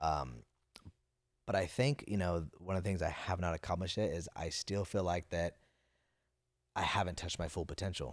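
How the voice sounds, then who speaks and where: An American accent with vocal fry, a moderate pace, long and frequent pauses and ordinary pitch variation, on a very clean recording with a silent background. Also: man, very deep, low pitch for a man. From Napa Valley, California. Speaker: finance entrepreneur and public speaker. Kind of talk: casual interview chat. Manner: halting, repeats words.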